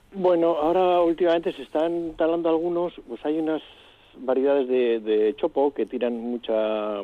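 In an unremarkable speaking voice, a man with a fairly high pitch talks at a moderate pace with lively intonation. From Vitoria-Gasteiz, Basque Country. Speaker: retired municipal gardening chief. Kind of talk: radio interview.

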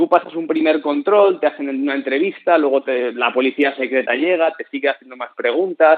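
This man's pitch sits fairly high and varies in an ordinary way. He speaks at a moderate pace in a plain, everyday voice. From Spain. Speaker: traveler. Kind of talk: radio interview.

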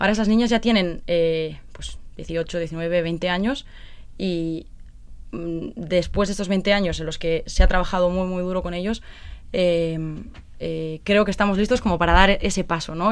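Woman at a medium pitch with a moderate pace, ordinary pitch variation, and a normal speaking voice. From Basque Country, Spain (Vitoria). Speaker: former TV contestant, charity project volunteer. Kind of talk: interview.

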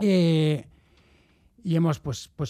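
A man speaks with fairly even intonation. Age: 40s. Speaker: football club presidential candidate. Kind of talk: radio interview. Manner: halting.

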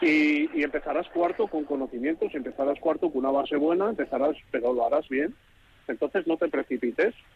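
This man has an ordinary speaking voice, fairly high in pitch, with ordinary pitch variation. He talks at a fairly quick pace in very even loudness. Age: 30s. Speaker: truck driver and adult student. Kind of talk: radio interview.

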